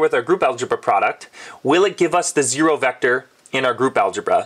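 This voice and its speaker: A man talks at a fairly quick clip. Noticeable noise sits in the background. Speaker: math educator. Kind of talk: tutorial. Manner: fast; casual.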